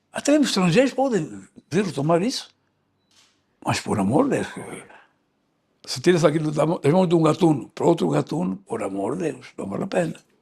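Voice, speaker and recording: A man's high voice swings very widely in pitch, with long, frequent pauses throughout. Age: 80s+. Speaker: veteran politician. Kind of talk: interview. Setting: at his residence.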